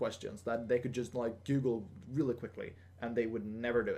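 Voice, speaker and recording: At a fairly quick pace, the speech comes through in a dark, mellow tone. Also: man. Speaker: gaming vlogger. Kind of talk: casual Q&A vlog. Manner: hesitant, many fillers and restarts.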